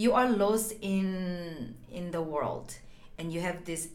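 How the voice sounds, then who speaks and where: With a Korean accent, a woman speaks at a fairly low pitch with ordinary pitch variation, amid noticeable background noise and audible room echo. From South Korea. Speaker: dancer and choreographer. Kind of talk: guided movement instruction.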